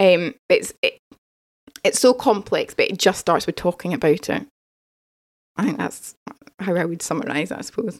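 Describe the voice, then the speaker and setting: This woman speaks at a moderate pace. She takes long, frequent pauses. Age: 30s. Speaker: change coach. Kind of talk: casual interview chat.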